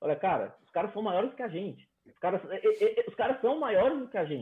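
Very wide pitch swings mark a man's very fast delivery. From Brazil, Fortaleza. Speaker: electrical engineer. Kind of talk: casual interview.

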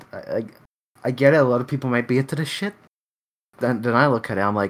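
Recorded very cleanly over a silent background, a man speaks in a plain, everyday voice at a medium pitch. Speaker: podcast host. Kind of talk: casual banter. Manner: casual, profane.

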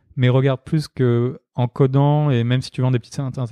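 Monotone and flat in intonation, a man talks at a medium pitch. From Marseille, southern France. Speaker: startup founder. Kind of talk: interview conversation. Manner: hesitant, many fillers and repetitions.

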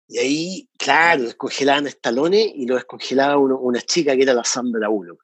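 This man has an unremarkable speaking voice, fairly high in pitch, moving at a fairly quick pace with hardly any pauses and ordinary pitch variation. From Chile, Santiago. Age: 40s. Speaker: podcast co-host. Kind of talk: casual chat.

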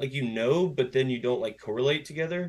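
A man speaks at a moderate pace. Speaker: podcast host guest. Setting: video call.

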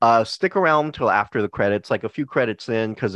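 Speech comes at a very fast pace with an American accent. The pitch varies in an ordinary way. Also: man. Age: 40s. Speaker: podcast host. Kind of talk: casual chat. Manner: animated.

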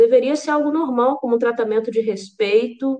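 A woman speaks at a moderate pace. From Brazil, Vitória, Espírito Santo. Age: 20s. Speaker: singer-songwriter and Spanish teacher. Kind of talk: casual chat.

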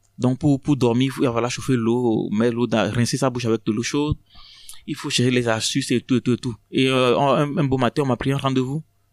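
A man's medium-pitched voice at a fairly quick clip, fairly even in intonation, with a dry, close sound and no echo. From Togo, Lomé. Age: 30s. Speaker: asylum seeker. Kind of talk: testimony. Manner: halting.

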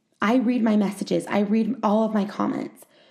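This woman's voice is somewhat breathy. Her pitch is medium. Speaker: podcast host. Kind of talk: personal storytelling monologue. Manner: casual, rambling.

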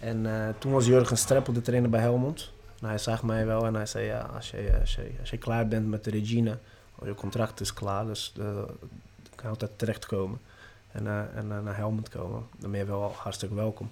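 A man speaks in a Portuguese accent with a fairly low pitch and a dark, mellow tone. His intonation is monotone and flat, with big swings in loudness. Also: moderate pace. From Brazil. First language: Portuguese (speaking Dutch). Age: 30s. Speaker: football youth coach. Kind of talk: interview. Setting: training ground. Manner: halting.

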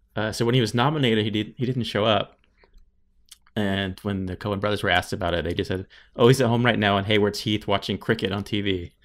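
Someone speaks very fast in an American accent, with fairly even intonation. The recording is very clean, with a silent background. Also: man, fairly low pitch for a man. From US Southeast. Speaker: podcast co-host and designer. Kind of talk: casual podcast discussion.

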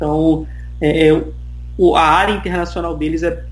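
Audible room echo on a man's fairly slow speech. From Brazil, Rio de Janeiro. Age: 30s. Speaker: IT student, immigrant. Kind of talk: casual interview chat.

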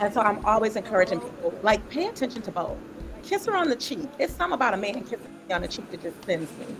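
Music plays behind a woman with a fairly high pitch. She talks very fast, her pitch swinging very widely. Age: 40s. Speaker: panelist, doctoral student and coach. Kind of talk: casual panel discussion. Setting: online livestream.

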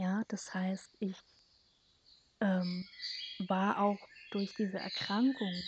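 A woman at a medium pitch and a very slow pace. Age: 30s. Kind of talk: personal monologue.

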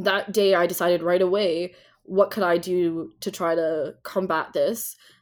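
On a very clean recording with a silent background, a woman with a Canadian accent speaks in a normal speaking voice at a medium pitch with fairly even intonation. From Ontario, Canada. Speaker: nonprofit founder and diversity consultant. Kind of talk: interview.

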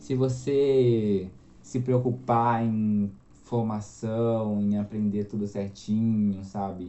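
Very slowly and at a fairly low pitch, a man speaks with ordinary pitch variation. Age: 20s. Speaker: copywriter and journalist. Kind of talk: casual interview chat.

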